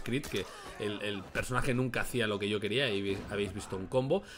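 A man talks at a fairly quick pace with ordinary pitch variation. Noticeable background noise is present. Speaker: gaming youtuber. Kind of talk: gameplay commentary.

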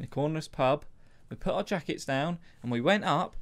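Lively intonation marks this man's fairly quick delivery. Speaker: podcast co-host. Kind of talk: casual podcast storytelling. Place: studio. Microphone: studio mic.

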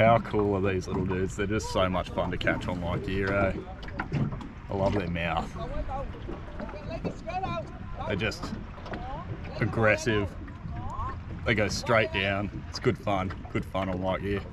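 Recorded dry with no echo over loud background noise, a man speaks at a fairly slow pace with long, frequent pauses. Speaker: angler vlogger. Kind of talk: casual vlog chat. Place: boat. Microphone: phone near.

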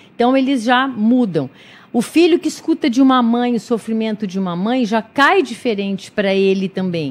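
A woman's fairly high voice, lively in intonation and moderate in pace. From interior of São Paulo state, Brazil. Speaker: clinical psychologist and volunteer. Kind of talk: radio interview. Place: studio. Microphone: studio mic.

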